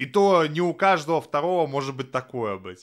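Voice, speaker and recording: A man with a bright, sharp tone at a moderate pace, against a quiet background. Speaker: streamer. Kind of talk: casual reaction commentary. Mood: relaxed, mildly opinionated.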